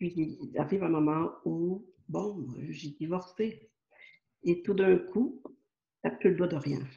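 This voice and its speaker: A woman speaks very slowly with long, frequent pauses and lively intonation. Her fairly low voice is somewhat breathy, with a dark, mellow tone. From Quebec, Montreal. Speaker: spiritual author and channel. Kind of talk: interview. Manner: hesitant, many fillers.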